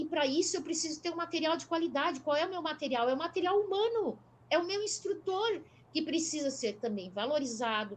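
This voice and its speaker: A woman speaks at a fairly quick pace with an extremely high pitch. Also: lively intonation. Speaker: traffic educator. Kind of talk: live panel discussion. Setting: live stream.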